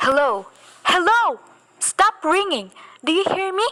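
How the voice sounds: Putting on a character voice, a woman speaks fairly slowly at an extremely high pitch with big pitch swings and a bright, sharp tone.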